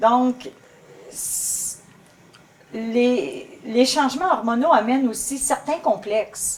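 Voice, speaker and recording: Over noticeable background noise, a high-pitched woman speaks at a very slow pace with long, frequent pauses, big swings in loudness, and ordinary pitch variation. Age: 60s. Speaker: guest speaker on women's health. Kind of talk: talk show conversation. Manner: hesitant, with false starts.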